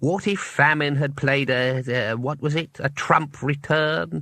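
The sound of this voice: A man puts on a breathy character voice at a fairly high pitch with ordinary variation, speaking at a fairly slow pace. The recording is very clean, with a silent background.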